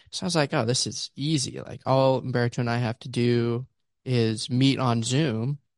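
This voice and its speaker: A man with an unremarkable speaking voice talks at a moderate pace, medium in pitch and fairly even in intonation. The sound is dry and close with no echo, over a quiet background. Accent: American. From Pittsburgh, Pennsylvania. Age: young. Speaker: podcast co-host. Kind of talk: casual chat. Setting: video call.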